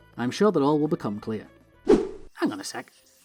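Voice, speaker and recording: A man with a Northern English accent talks at a fairly quick pace over music in the background. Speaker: let's play YouTuber. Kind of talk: gameplay commentary. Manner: casual, chatty.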